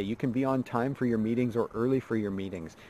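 The man's voice has a dry sound with no echo, ordinary pitch variation and a fairly quick pace. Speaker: mindset coach. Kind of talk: motivational talk to camera. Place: forest. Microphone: phone near.

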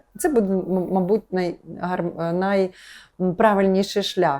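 A woman's dark, mellow tone at a moderate pace. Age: 50s. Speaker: yoga teacher. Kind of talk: monologue talk to camera. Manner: conversational, with fillers.

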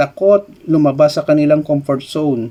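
A man speaks at a fairly slow pace with a fairly high pitch. His tone is dark and mellow. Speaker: YouTuber and IT lecturer. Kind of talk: educational vlog commentary. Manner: casual, conversational Taglish.

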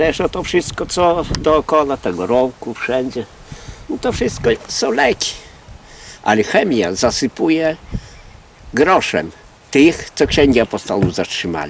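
A man with a fairly high pitch makes very wide pitch swings and leaves long, frequent pauses. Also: fairly slow pace. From Podlasie, Poland. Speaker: folk healer (whisperer). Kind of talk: interview answer, folk-wisdom talk.

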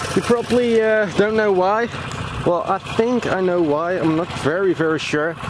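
A man talks at a fairly slow pace. The sound is dry with no echo, but background noise is noticeable. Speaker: vlogger. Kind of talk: casual vlog chat. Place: waterside. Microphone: phone near.

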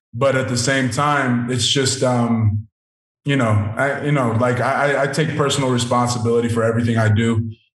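Over a quiet background with audible room echo, a man speaks at a moderate pace in a medium-pitched, somewhat breathy voice with fairly even intonation. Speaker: professional football player; guest. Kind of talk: interview. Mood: calm, reflective. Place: home room. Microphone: video call.

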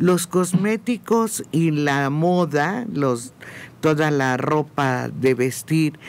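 A man's fairly high voice with a Mexican accent. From Mexico. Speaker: radio panelist. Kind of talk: radio panel discussion. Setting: radio studio. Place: studio. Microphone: studio mic.

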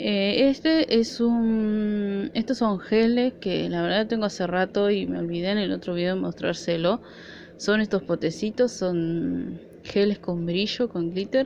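Speaking with an Argentine accent at a fairly slow pace, the voice shows ordinary pitch variation over light background noise. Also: woman. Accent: Argentine Spanish (Rioplatense). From Argentina. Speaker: nail art vlogger. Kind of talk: product haul video; casual haul vlog chat. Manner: casual, hesitant. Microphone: phone near.

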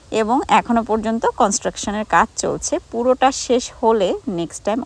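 A woman talks at a fairly high pitch in a normal speaking voice. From Bangladesh, Gopalganj. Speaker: vlogger. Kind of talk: vlog narration.

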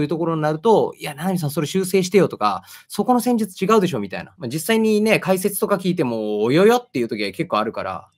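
In a quiet background, a man talks at a very fast pace. His high pitch swings very widely. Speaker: football commentator, channel host. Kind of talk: casual interview chat about football. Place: home room.

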